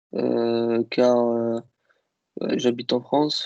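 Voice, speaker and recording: A man with an Algerian accent, recorded dry and close with no echo. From Algeria (Kabyle). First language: Kabyle (speaking French). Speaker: IT worker interviewed about languages. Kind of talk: interview. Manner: hesitant, many fillers.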